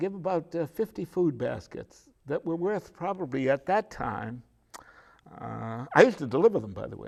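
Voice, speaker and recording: With an American accent and vocal fry, a man talks at a moderate pace in a fairly high pitch, his voice making very wide pitch swings and big swings in loudness. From Beverly, Massachusetts, New England. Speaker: local elder interviewee. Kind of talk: oral history interview. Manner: halting, many fillers.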